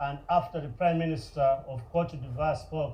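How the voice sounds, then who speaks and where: A man with a fairly high pitch, a dark, mellow tone, a somewhat breathy voice, a moderate pace, and audible room echo. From Uganda. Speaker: nonprofit founder. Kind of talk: public speech. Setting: stage with audience.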